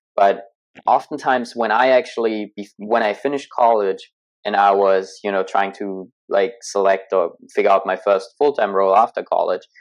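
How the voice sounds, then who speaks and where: At a fairly quick pace, a man speaks with a German accent. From Germany. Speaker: entrepreneur, former tech sales rep. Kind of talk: podcast interview.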